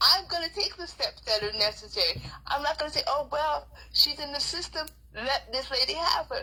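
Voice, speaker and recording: Noticeable background noise sits under the speech. The pace is moderate. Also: woman. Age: 60s. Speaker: grandmother fighting child protective services. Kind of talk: interview testimony. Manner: animated.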